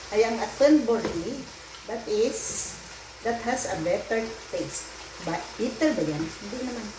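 Spoken at a fairly slow pace, with noticeable background noise behind the voice. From Antique, Philippines. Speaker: home cook vlogger. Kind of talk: cooking tutorial. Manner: casual, code-switching.

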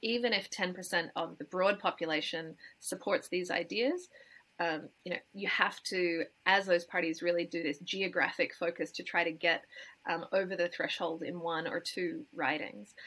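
With an Australian accent, the speaker has a bright, sharp tone, a moderate pace, and ordinary pitch variation. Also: woman, fairly low pitch for a woman. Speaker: climate campaigner and democracy activist. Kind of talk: interview answer. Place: home room. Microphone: webcam.

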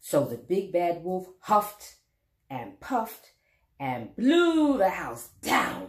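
Against a quiet background, the reading voice sounds natural.

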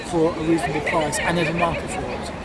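A man speaks with a dry sound and no echo. Loud background noise fills the recording. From England. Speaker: animation studio co-founder and producer. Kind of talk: interview. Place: garden.

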